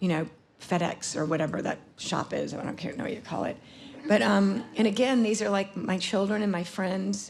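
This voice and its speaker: A woman at a moderate pace and medium pitch, with an American accent. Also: ordinary pitch variation. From US South, Atlanta, Georgia. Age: 60s. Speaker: photographer. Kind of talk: conference talk presenting work. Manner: halting, many fillers.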